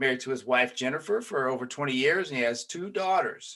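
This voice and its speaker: A man's medium-pitched voice, bright and sharp in tone, at a moderate pace with ordinary pitch variation. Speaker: podcast host, police trainer. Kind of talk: casual interview chat. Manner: filler-heavy, hesitant starts.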